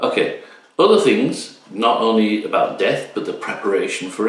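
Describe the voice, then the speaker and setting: Moderate pace, with noticeable background noise. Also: man. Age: 50s. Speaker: YouTube channel host. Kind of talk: casual talk to camera.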